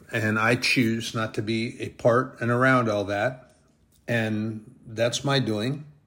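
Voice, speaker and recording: A voice with a bright, sharp tone speaks at a very slow pace in a monotone, flat intonation. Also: man, medium pitch for a man. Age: 60s. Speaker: lay preacher / bible teacher. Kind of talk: sermon. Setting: solo online broadcast. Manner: halting.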